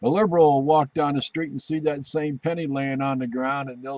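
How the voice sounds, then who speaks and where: A man with a plain, everyday voice talks at a fairly quick pace in a medium pitch. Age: 60s. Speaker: veteran video commentator. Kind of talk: casual video commentary.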